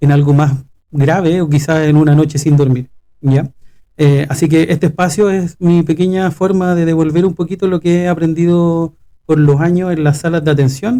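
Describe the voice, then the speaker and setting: With a Chilean accent, a man at fairly high pitch speaks at a moderate pace in a dark, mellow tone, with fairly even intonation and very even loudness. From Chile, Valparaíso region (Quilpué). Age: 40s. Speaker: pediatric respiratory physiotherapist, podcast co-host. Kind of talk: casual podcast conversation.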